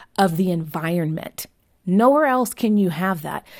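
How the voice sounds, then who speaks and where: A woman's ordinary speaking voice with an American accent, medium pitch and ordinary pitch variation, fairly slow, on a very clean recording with a silent background. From US, Southern California. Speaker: author and marriage advocate. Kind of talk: interview.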